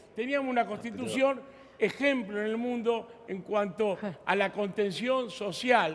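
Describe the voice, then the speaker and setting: Noticeable background noise surrounds a man speaking in a high pitch. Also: ordinary pitch variation, fairly slow pace. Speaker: union leader. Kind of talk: heated debate.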